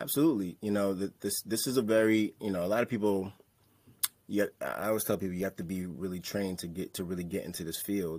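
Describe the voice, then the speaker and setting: The speaker has an American accent and ordinary pitch variation. The pace is very fast. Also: man, fairly low pitch for a man. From New York, Staten Island. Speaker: licensed therapist and mental health speaker. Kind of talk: casual interview chat.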